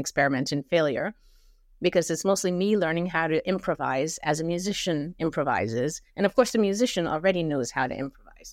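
In a very clean recording with a silent background and a dry, close sound with no echo, a woman with an American accent talks in a normal speaking voice at a fairly low pitch, a fairly quick pace and ordinary pitch variation. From India (Bombay) and New Jersey. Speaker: poet. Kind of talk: casual chat.

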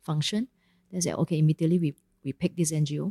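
A woman speaks in a Malaysian accent with a very deep, low pitch. Her intonation is fairly even, and the sound is dry and close with no echo. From Ipoh, Malaysia. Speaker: company CEO. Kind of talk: casual interview. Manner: casual, uses Malaysian 'lah'.

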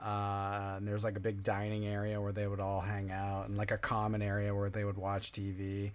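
Fairly quick and fairly low, a man speaks with an American accent. His intonation is monotone and flat. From New Jersey. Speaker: live stream host.

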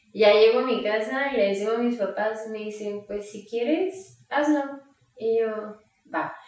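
Audible room echo surrounds a woman's fairly high voice. Her pitch varies in an ordinary way. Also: big swings in loudness. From Mexico, Sinaloa (Mazatlán). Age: 20s. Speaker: pastry chef. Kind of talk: interview.

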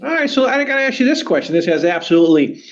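Very wide pitch swings in an American accent. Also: man. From Southern California. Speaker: podcast host, engineering exam prep. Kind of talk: interview.

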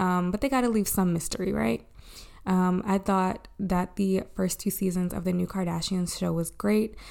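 A woman with an American accent speaks in an ordinary speaking voice at a medium pitch. Her pace is moderate, her pitch varies in an ordinary way, and her loudness stays very even. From Maryland, Baltimore area. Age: 20s. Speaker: podcast host. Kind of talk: casual chat. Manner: casual, chatty.

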